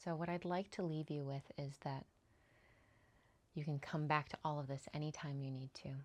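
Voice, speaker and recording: Speaking at a moderate pace with long, frequent pauses, a woman uses a very deep, low pitch, fairly even intonation and a calm, gentle tone. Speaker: EFT tapping coach. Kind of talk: tutorial; guided tapping session.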